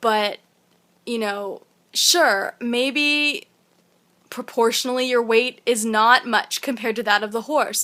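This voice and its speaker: Bright and sharp in tone, a woman with a fairly high pitch and ordinary pitch variation speaks at a fairly slow pace. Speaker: vegan vlogger. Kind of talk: opinion vlog monologue.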